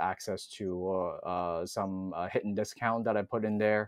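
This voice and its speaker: The man's voice is fairly low, with monotone, flat intonation. He keeps a moderate pace. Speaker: sex educator. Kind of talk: podcast interview.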